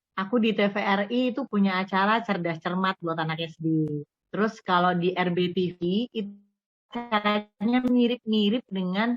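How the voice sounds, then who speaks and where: A woman speaks at a medium pitch with ordinary pitch variation, in a Javanese accent. The sound is dry and close, with no echo. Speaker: radio broadcaster. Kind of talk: interview.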